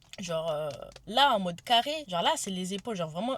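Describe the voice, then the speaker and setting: A woman speaks over noticeable background noise. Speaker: vlogger. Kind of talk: vlog. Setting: in a car. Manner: fast; halting.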